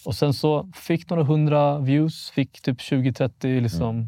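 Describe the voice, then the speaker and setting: The tone of this man's voice is dark and mellow. The recording is very clean, with a silent background and a dry, close sound that has no echo. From Sweden, Vallentuna north of Stockholm. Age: 20s. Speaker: police youth crime investigator and YouTuber. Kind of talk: casual podcast interview.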